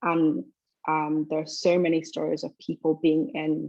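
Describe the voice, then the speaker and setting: A woman speaks at a fairly slow pace in a very deep, low voice with monotone, flat intonation. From London, England. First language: Twi. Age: 20s. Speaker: university student. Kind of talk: interview.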